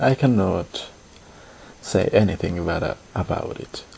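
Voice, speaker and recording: A man's voice with a non-native accent, very wide pitch swings and noticeable background noise. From Latin America. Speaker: podcaster and scriptwriter. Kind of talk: personal monologue. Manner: halting.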